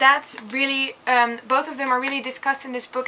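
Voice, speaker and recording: A woman speaks in a raised, projected voice at a high pitch. Noticeable background noise runs underneath. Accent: Dutch. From Netherlands. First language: Dutch. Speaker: book vlogger. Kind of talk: casual book review vlog.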